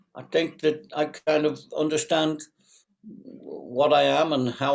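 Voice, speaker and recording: A man's fairly high pitch at a very slow pace. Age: 70s. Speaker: qigong teacher and former acupuncturist. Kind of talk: interview. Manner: halting, many fillers.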